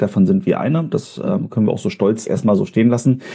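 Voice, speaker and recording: This man's voice sits at a medium pitch. It rises and falls across a very wide range. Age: 30s. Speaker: marketing agency head. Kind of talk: interview.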